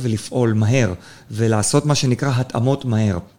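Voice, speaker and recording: There is a dark, mellow tone to this man's medium-pitched voice. He moves at a moderate pace with ordinary pitch variation. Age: 30s. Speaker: podcast host, lawyer. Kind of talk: interview.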